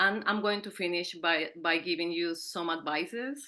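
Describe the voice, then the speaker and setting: A woman with a Colombian accent talks at a moderate pace in a fairly low pitch, her tone bright and sharp and her intonation fairly even, over a quiet background. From Colombia (Andean city). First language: Spanish. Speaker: PhD student, panel speaker. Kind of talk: conference presentation.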